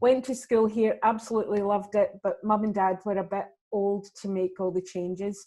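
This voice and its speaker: A woman speaks with a Glaswegian accent and fairly even intonation. The recording is very clean, with a silent background. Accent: Glaswegian Scottish. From Scotland, Glasgow. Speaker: actor and comedian. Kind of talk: interview.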